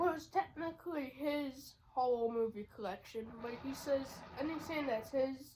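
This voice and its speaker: Over noticeable background noise, a high-pitched woman speaks fairly slowly with ordinary pitch variation and big swings in loudness. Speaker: YouTuber reviewing edibles. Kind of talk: casual vlog chat. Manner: casual, rambling with fillers.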